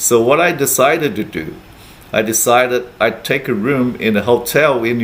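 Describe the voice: Someone reads aloud plainly, the intonation staying fairly even.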